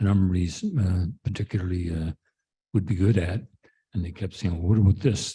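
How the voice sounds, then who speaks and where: With a very deep, low pitch and a dark, mellow tone, a somewhat breathy man keeps a fairly quick pace and ordinary pitch variation. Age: 70s. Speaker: care partner. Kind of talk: panel discussion. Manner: halting.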